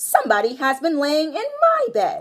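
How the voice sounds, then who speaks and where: A woman uses a put-on character voice, high in pitch, at a moderate pace. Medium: read story.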